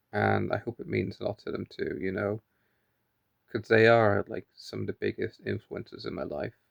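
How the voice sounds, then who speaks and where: A man talks quietly. His pace is moderate. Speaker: vlogger. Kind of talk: casual video diary monologue. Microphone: phone held close.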